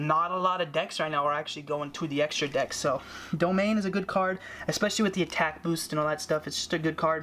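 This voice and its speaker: Fairly quick and with fairly even intonation, a man speaks at a high pitch. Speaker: card game youtuber. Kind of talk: deck profile tutorial. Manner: stuttering, many fillers; casual, conversational.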